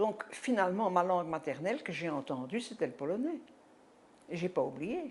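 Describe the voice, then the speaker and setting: Speaking at a moderate pace, a woman with a medium pitch makes very wide pitch swings. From Belgium, Brussels. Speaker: Holocaust survivor giving testimony. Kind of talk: testimony interview. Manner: halting.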